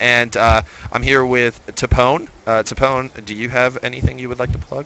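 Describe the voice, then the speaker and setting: This is a man's voice. It sits at a medium pitch and keeps a moderate pace. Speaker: esports caster. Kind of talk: live commentary. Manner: loud; animated.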